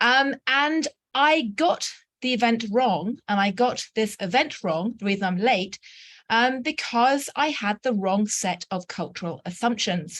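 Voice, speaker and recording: Using a British accent, a woman with a fairly high pitch speaks at a fairly slow pace with lively intonation, recorded dry and close with no echo. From England. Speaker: journalist and anthropologist. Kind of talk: invited talk. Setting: video call from a student dorm.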